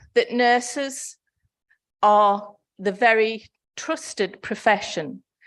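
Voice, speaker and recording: With a northeast English accent, a woman speaks at a very slow pace and fairly high pitch, with ordinary pitch variation and long, frequent pauses, over a quiet background. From northeast England. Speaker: nursing federation representative, conference speaker. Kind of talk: conference speech. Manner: formal.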